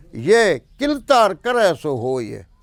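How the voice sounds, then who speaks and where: A man's voice with very wide pitch swings. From Tharparkar, Sindh, Pakistan. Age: 60s. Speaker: poet. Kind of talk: interview answer.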